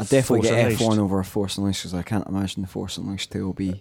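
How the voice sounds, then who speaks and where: A man's fairly low voice in a Scottish accent, at a very fast pace with fairly even intonation. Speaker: podcast co-host.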